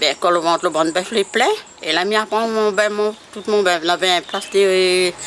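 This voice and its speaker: Noticeable background noise sits behind a woman's medium-pitched voice. She speaks at a fairly slow pace with fairly even intonation. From La Saline, Réunion Island. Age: 70s. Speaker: former cattle keeper. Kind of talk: interview answer.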